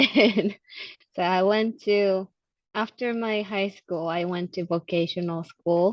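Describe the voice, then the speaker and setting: A woman speaks very slowly with an American accent. Her pitch is medium and her intonation fairly even. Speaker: immigration documents officer. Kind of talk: interview. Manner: halting.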